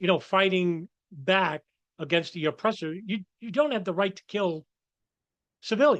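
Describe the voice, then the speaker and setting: A man with a New York accent speaks at a high pitch and a moderate pace, with lively intonation and long, frequent pauses. The sound is dry and close, with no echo. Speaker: political commentator. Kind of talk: commentary monologue. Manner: halting.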